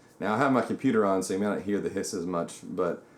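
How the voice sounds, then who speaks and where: A man speaks at a very fast pace with fairly low pitch and ordinary pitch variation. Music plays in the background. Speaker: youtuber reviewing gear. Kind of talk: tutorial. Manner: casual, filler-heavy. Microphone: shotgun mic on camera, room echo.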